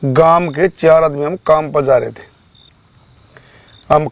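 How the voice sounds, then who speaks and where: A man's voice at a fairly high pitch. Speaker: farm labourer. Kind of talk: interview answer, personal ghost story. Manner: casual, rambling.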